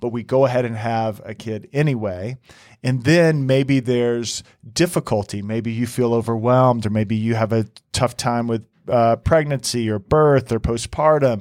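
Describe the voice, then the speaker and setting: Heard in a very clean recording with a silent background, a man speaks at a moderate pace. He uses an ordinary speaking voice at medium pitch with ordinary pitch variation. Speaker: couples counselor. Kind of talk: casual banter between co-hosts. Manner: playful, joking.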